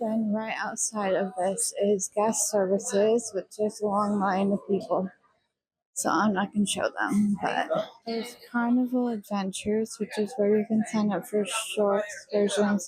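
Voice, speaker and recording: A woman's somewhat breathy voice sits at a fairly high pitch with monotone, flat intonation. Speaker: travel agent vlogger. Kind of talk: walking ship tour narration.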